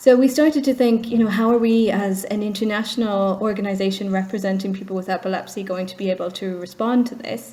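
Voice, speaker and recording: Noticeable background noise sits behind a woman speaking at a very fast pace. Her pitch is medium and her intonation fairly even. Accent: Irish. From Ireland. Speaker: charity executive. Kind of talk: interview.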